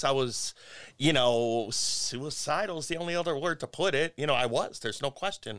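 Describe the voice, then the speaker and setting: Here a man talks at a fairly quick pace with ordinary pitch variation. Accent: Midwestern American. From US Midwest, Cleveland. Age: 50s. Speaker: musician. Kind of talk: casual chat. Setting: studio.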